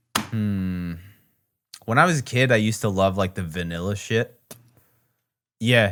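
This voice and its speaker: Rumbling and fairly low, a man's voice moves at a fairly slow pace with ordinary pitch variation and long, frequent pauses. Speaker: podcast co-host. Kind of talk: casual chat.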